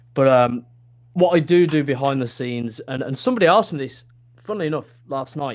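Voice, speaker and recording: A man's fairly high voice races at a very fast pace with ordinary pitch variation, noticeable background noise behind it. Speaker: wrestling ring announcer and commentator, football pitch-side announcer, esports host. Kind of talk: interview answer.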